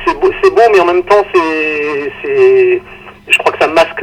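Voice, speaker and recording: A man takes his time, speaking fairly slowly as noticeable noise sounds in the background. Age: 50s. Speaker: chess federation executive. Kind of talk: interview. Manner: halting.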